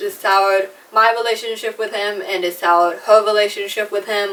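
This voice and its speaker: An unremarkable speaking voice with an American accent, at a fairly slow pace. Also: woman. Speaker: YouTuber, artist. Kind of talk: casual talk to camera.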